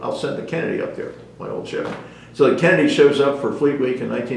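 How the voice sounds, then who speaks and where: Noticeable background noise and audible room echo mark this clip. The man speaks very fast. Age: 80s+. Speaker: retired navy captain. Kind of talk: oral history interview. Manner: hesitant, many filler words.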